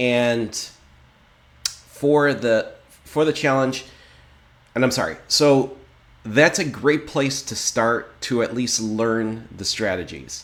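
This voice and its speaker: A man at medium pitch, talking at a very slow pace. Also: ordinary pitch variation. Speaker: day trader and trading channel host. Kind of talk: trading tutorial / live session commentary. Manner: casual with frequent fillers.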